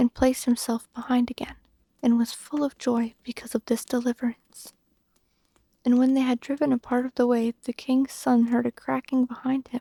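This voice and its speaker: Someone whispers in a soft-spoken voice. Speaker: ASMR storyteller. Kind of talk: bedtime story reading. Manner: soft-spoken, whispered.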